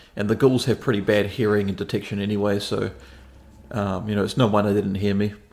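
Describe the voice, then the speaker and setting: A man rushes along at a very fast pace. His fairly low voice stays monotone and flat. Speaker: gaming video creator. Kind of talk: game walkthrough commentary. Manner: casual, slightly slurred.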